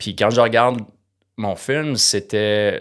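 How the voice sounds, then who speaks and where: A man's fairly low voice with a Quebec accent and fairly even intonation, in a very clean recording against a silent background. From Quebec, Eastern Townships (Bromont area). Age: 50s. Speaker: entrepreneur, startup founder. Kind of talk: interview conversation. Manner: halting, many fillers and repetitions.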